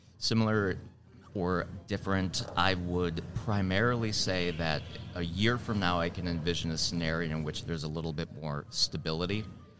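With an American accent, a man speaks at a very deep, low pitch and a moderate pace. His intonation stays fairly even, and room echo is audible. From Wisconsin, Milwaukee. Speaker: HR coach. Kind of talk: interview. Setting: live at a conference.

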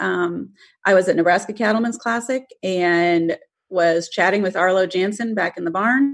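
A woman with a normal speaking voice talks at a medium pitch with ordinary pitch variation. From US, moved around as a military child. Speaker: livestock photographer. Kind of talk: casual interview.

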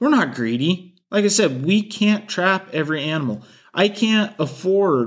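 Lively intonation from a man with a Pacific Northwest accent, at a moderate pace, on a very clean recording with a silent background. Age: 20s. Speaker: trapper and podcast host. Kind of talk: solo podcast talk.

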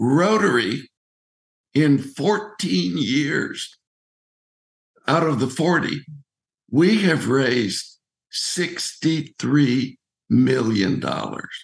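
Very slowly and with long, frequent pauses, a man speaks at a fairly high pitch with very wide pitch swings and vocal fry. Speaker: Rotarian and recreational cyclist. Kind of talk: casual interview.

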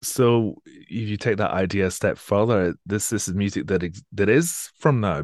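Against a quiet background, a man with a Scottish accent talks in a fairly low pitch with ordinary pitch variation. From Scotland, Edinburgh area. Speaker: classical radio presenter. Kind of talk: interview.

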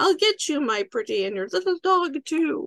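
In a put-on character voice, the speaker uses a theatrical tone with very wide pitch swings. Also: female-sounding voice. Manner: witchy, theatrical.

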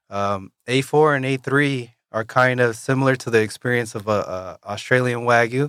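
A man with an American accent talks at a moderate pace and medium pitch, with fairly even intonation. The sound is dry and close with no echo, on a very clean recording with a silent background. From Washington, Yakima. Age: 20s. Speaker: butcher. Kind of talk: interview. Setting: studio.

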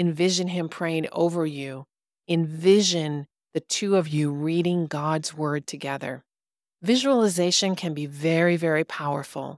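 A woman's fairly low, fairly slow delivery in a plain, everyday voice, with ordinary pitch variation and a dry, close sound with no echo. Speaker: podcast host and stepfamily coach. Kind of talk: fervent guided prayer, leading listeners through visualization of armor of God; devotional teaching with prayer. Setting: studio podcast recording. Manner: earnest, warm, exhorting and imploring, urgent pastoral intensity.

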